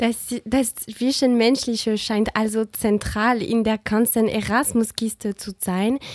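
A woman with a non-native accent speaks very slowly in a fairly high, flat monotone, barely pausing, her voice dry and close with no echo. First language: not German (speaking German). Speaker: student radio host. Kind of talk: scripted radio magazine presenting. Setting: studio.

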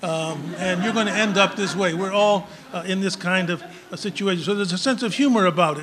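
Noticeable background noise accompanies a speaker with an American accent who talks at a fairly quick pace with ordinary pitch variation. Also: man, high pitch for a man. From Mexican American, US Southwest. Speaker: professor. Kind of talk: lecture; Q&A answers. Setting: lecture hall with audience.

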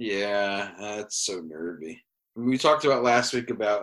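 A man speaks with a New England accent and ordinary pitch variation. His tone is bright and sharp, on a very clean recording with a silent background. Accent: New England American. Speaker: podcast host. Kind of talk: casual banter about fantasy football.

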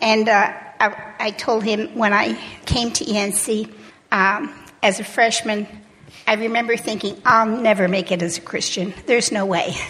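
A woman's fairly high voice with ordinary pitch variation at a fairly slow pace, amid noticeable background noise. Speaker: church member, alumna. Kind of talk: testimony.

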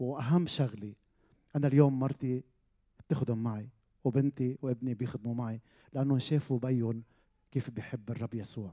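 A man with a Lebanese accent talks at a moderate pace, with long, frequent pauses. His medium pitch carries fairly even intonation. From Lebanon, Zahle. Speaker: pastor. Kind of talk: testimony. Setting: stage with audience.

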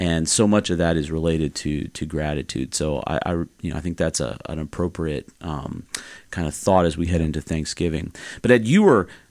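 On a very clean recording with a silent background, a man speaks at a moderate pace with a very deep, low pitch and vocal fry. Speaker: pastor and podcast host. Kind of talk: casual chat.

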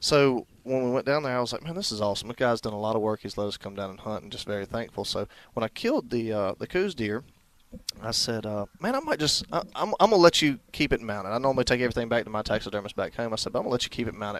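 Speaking at a very fast pace, a man uses a medium pitch with ordinary pitch variation. He talks with an American accent. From North Carolina. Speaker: hunting show host. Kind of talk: casual chat, storytelling.

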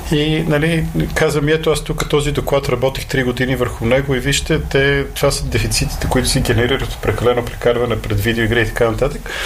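Amid audible room echo and noticeable background noise, a man talks at a fairly quick pace with hardly any pauses. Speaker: esports manager and former pro gamer. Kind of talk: casual interview.

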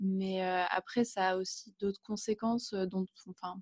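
At a moderate pace, a woman speaks in a somewhat breathy, dark and mellow voice of medium pitch, with monotone, flat intonation and a dry, close sound with no echo. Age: 20s. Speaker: guest with agoraphobia. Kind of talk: interview testimony. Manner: halting.

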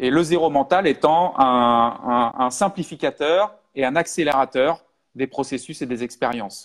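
With an unremarkable speaking voice, a man talks at a fairly high pitch and a fairly slow pace, showing ordinary pitch variation against a quiet background. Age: 40s. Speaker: hypnosis trainer. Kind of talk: live webinar talk. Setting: online live stream.

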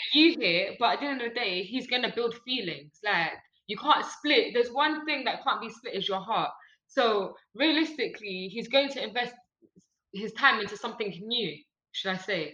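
A woman speaks in an ordinary speaking voice, pitched fairly high. Her intonation is lively and her pace is moderate. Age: 20s. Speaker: business owner and podcast guest. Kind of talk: casual chat.

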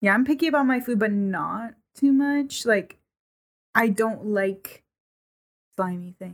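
A woman's somewhat breathy voice at a fairly high pitch, with lively intonation, a fairly slow pace and long, frequent pauses. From New England. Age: 20s. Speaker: podcast guest. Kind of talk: casual chat.

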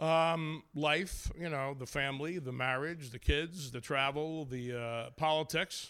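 A man's fairly high voice, bright and sharp in tone, at a fairly slow pace with hardly any pauses. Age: 40s. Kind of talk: interview with stand-up bits. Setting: studio with live audience. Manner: animated.

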